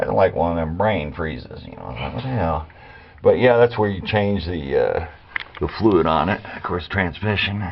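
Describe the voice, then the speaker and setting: A very deep, low male voice in an American accent, lively in intonation at a moderate pace, over noticeable background noise. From Arkansas, US South. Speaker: amateur car repair vlogger. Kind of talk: casual DIY tutorial chat. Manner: halting, many fillers.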